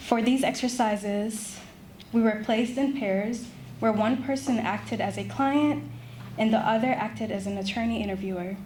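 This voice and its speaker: A woman speaks at a moderate pace in a fairly high, somewhat breathy voice. Her pitch varies in an ordinary way, and audible room echo surrounds her. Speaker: law student. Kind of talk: prepared presentation. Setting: ceremony with audience.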